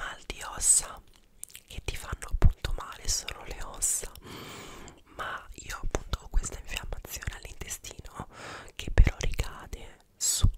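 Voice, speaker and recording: Whispering at a fairly slow pace, a man leaves long, frequent pauses while his loudness swings widely. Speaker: ASMR creator. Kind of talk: casual talk to camera. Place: home room. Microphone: studio mic.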